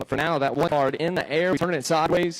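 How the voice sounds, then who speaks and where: Over noticeable background noise, a man with a high voice and a strong Georgia Southern accent speaks at a fairly quick pace. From Georgia, US. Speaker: motocross race announcer. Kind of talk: live commentary. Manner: distinctive.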